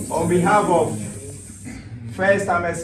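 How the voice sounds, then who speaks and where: Noticeable background noise surrounds a male speaker whose words ring with audible room echo. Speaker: former national team footballer. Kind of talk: motivational team speech. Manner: animated.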